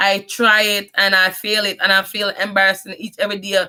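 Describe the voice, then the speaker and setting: The speaker has a strong Jamaican accent and a bright, sharp tone. The pace is fairly quick. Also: woman. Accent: Jamaican patois accent, strong. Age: 30s. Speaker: vlogger. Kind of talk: personal life story monologue. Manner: halting.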